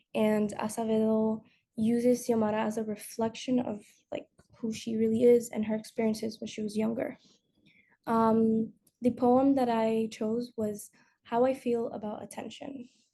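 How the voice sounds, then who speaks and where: A woman with a Spanish accent speaks at a moderate pace in a fairly high, somewhat breathy voice. Her tone is dark and mellow, and her intonation stays monotone and flat. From Dominican heritage. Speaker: student. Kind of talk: school presentation. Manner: hesitant, many fillers.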